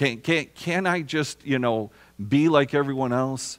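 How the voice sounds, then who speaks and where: The man speaks fairly slowly, and the background is quiet. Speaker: preacher. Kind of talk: sermon. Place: church.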